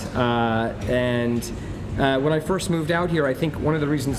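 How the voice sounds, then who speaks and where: A man with an American accent speaks with ordinary pitch variation, with audible room echo and noticeable background noise. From New York. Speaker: restaurateur. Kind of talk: interview. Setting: busy restaurant. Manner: many fillers and repetitions.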